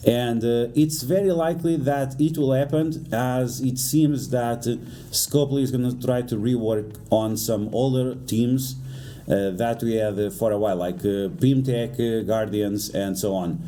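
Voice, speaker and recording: A man of medium pitch at a fairly slow pace, with ordinary pitch variation and audible room echo. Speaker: gaming YouTuber. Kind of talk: game guide commentary. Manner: stuttering today; hesitant with frequent fillers.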